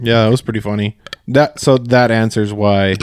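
Amid noticeable background noise, a man speaks at a fairly quick pace with fairly even intonation. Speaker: fishing podcast co-host. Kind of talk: casual chat.

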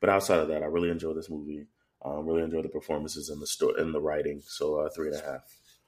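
A man rattles along at a very fast pace, his very deep, low voice held in a monotone, flat intonation. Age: 30s. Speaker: movie review podcast co-host. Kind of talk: casual chat. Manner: halting, many fillers.

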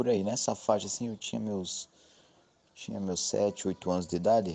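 Dark, mellow tone with fairly even intonation against a quiet background. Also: man. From Vale do Ribeira, São Paulo state, Brazil. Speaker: listener sharing a story. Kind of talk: casual personal testimony.

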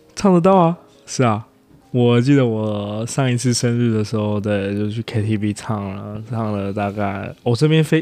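Music plays behind a man speaking fairly slowly. His voice is fairly low, with ordinary pitch variation. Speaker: podcast guest, working holiday resident. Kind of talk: casual chat.

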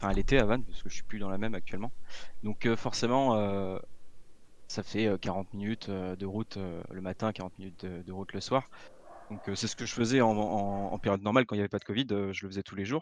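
Against a quiet background, a man talks at a fairly quick pace in a fairly low pitch with fairly even intonation, a normal speaking voice. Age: 20s. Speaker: computing apprentice student. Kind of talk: casual interview.

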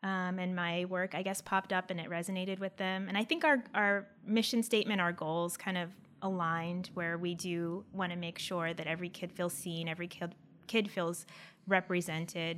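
At a moderate pace, a woman with an American accent speaks at medium pitch in monotone, flat intonation. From US Northeast, Pennsylvania. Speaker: illustrator and animator. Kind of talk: casual chat.

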